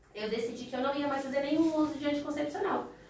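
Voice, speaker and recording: Someone talks at a very fast pace amid audible room echo and noticeable background noise. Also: woman. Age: 30s. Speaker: teacher. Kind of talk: casual chat.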